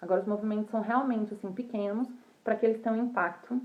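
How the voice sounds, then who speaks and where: This woman has a dark voice. Her tone is mellow. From Brazil. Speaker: fashion professional. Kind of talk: casual livestream talk. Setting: livestream.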